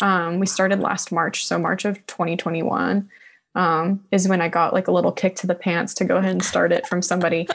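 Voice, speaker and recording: Very fast and monotone, a woman speaks at a fairly low pitch with vocal fry and flat intonation. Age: young. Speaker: support group leader; podcast guest or host. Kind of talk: personal testimony. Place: studio. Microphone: studio mic.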